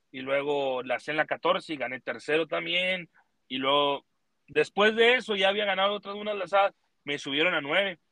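A man talks at a fairly quick pace in a high pitch. His intonation is lively. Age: 20s. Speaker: rodeo roper. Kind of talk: casual chat.

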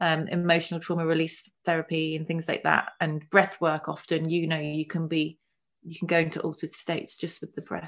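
Against a quiet background, a woman with a London accent talks at a fairly quick pace in a fairly low voice. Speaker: spiritual coach and healer. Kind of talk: casual interview chat.

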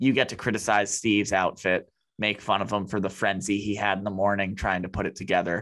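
A plain, everyday voice from a man, fairly low-pitched, at a fairly quick pace. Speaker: podcast host. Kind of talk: casual banter.

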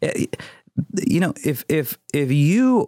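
Here a man talks with an American accent. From US Midwest. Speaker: marketing agency founder and CEO. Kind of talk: casual interview chat. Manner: calm; animated, profane.

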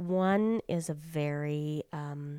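Her pitch is very deep and low, with ordinary variation and a dark, mellow tone. The woman's voice sounds dry and close with no echo, on a very clean recording with a silent background. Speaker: preschool teacher and podcast host. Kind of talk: casual conversation.

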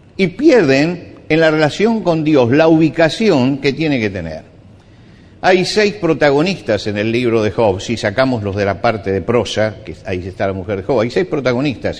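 Man's fairly high-pitched voice with very wide pitch swings at a fairly slow pace. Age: 70s. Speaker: pastor. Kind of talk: sermon.

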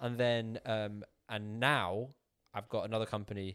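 A man with a British accent talks at a fairly slow pace and a fairly low pitch. The recording is very clean, with a silent background. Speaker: YouTuber and entrepreneur. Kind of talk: casual chat.

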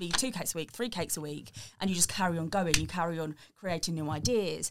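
Someone with an English accent speaks at a very fast pace. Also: woman. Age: 20s. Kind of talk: casual interview. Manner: hesitant, many fillers.

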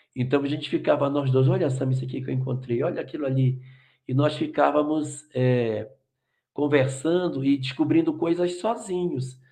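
Ordinary pitch variation runs through this somewhat breathy voice. The delivery keeps a moderate pace. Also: man, fairly high pitch for a man. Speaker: spiritist lecturer. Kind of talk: live Q&A talk. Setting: video call.

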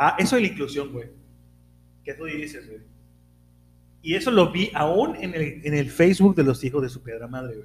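At a moderate pace, a man with a fairly high pitch uses lively intonation, big swings in loudness, and long, frequent pauses. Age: 40s. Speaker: podcast co-host. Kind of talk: casual chat.

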